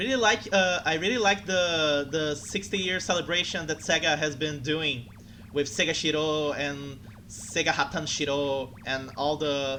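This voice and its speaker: The speaker has a Portuguese accent and talks at a fairly slow pace. Background noise is noticeable. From Brazil. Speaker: streamer. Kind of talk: casual chat. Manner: halting.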